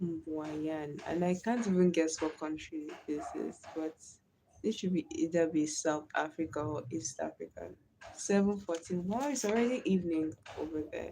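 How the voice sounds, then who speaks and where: Speaking at a moderate pace with a Nigerian accent, this voice has a dark, mellow tone and ordinary pitch variation. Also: woman, fairly low pitch for a woman. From Nigeria (Delta/Bayelsa area). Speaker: live streamer. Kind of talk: casual live stream chat. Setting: live stream.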